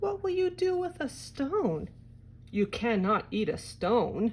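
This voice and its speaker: A woman puts on a character voice at a high pitch with very wide pitch swings and a fairly slow pace. Clear background noise can be heard. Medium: read story.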